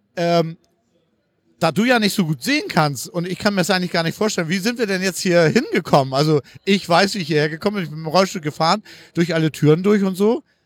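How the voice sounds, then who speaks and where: A man with a high voice speaks at a fairly quick pace. His pitch varies in an ordinary way. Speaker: podcast host, wheelchair user. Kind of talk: casual interview on location. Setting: walking through a crowded convention hall. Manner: hesitant, many fillers.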